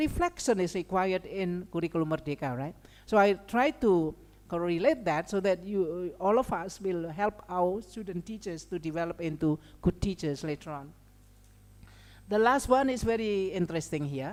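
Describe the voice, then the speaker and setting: With a slight Indonesian accent, a woman speaks at a moderate pace and medium pitch, her intonation lively. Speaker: lecturer. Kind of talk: lecture. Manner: halting, many fillers.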